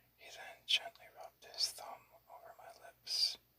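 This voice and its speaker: The speech is whispered at a fairly slow pace. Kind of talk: whispered ASMR book reading.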